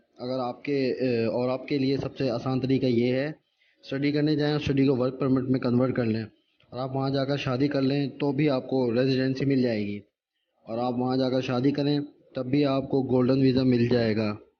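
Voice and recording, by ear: At a moderate pace, a man speaks with medium pitch and fairly even intonation amid audible room echo.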